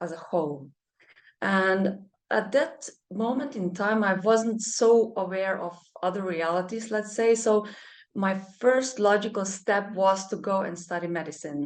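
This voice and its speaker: Moderate in pace and ordinary in pitch variation, the speech carries a Slovenian accent. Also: woman. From Germany, Slovenian parents. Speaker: medical doctor and energy healer. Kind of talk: interview conversation. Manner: halting, many fillers.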